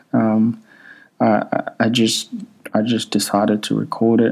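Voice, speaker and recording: With a Congolese accent, a man speaks in a dark, mellow tone. His fairly low voice stays monotone and flat. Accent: Congolese, non-native English. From Democratic Republic of the Congo. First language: not English (third language; French used at school). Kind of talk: casual personal monologue. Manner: hesitant, many filler ums.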